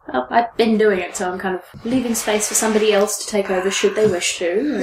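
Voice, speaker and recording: A woman speaks at a fairly quick pace with a medium pitch and ordinary pitch variation, over noticeable background noise. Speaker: podcast host doing the introductions.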